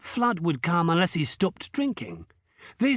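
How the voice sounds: The voice reads naturally. Its intonation rises and falls in a lively way.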